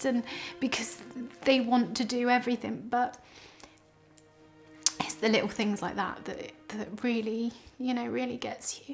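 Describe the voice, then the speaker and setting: Against music in the background, a woman speaks in a high pitch with fairly even intonation at a fairly slow pace, with long, frequent pauses. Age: 30s. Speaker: terminal cancer patient and charity fundraiser. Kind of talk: personal testimony to camera. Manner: hesitant, frequent fillers.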